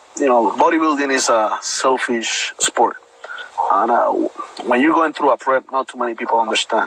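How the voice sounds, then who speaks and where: A man with a Puerto Rican accent talks at a moderate pace over noticeable background noise. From Puerto Rico. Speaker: bodybuilder, army veteran. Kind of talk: interview.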